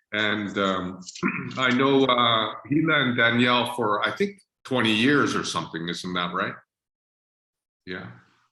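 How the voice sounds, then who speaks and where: Bright, sharp tone with very wide pitch swings, a fairly slow pace and audible room echo. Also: man. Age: 60s. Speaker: spiritual teacher. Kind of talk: informal spiritual talk on video call. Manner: hesitant, many fillers.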